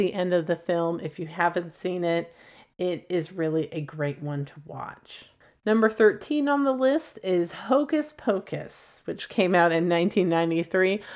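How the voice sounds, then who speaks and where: A woman's fairly low voice with an American accent, fairly slow and lively in intonation, with big swings in loudness. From US Pacific Northwest (Portland, Oregon). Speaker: podcast host, film reviewer. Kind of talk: casual solo commentary. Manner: giggly, lots of laughter.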